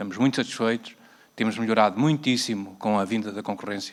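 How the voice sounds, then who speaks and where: Someone talks very fast in a European Portuguese accent on a very clean recording with a silent background. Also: man. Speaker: transport company executive. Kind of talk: panel discussion. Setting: stage with audience.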